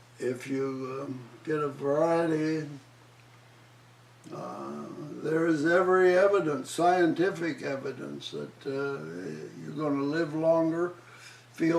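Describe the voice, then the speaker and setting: A man's fairly high-pitched voice at a very slow pace, with long, frequent pauses. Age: 80s+. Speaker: retired surgeon. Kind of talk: interview answer. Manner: hesitant, many filler words.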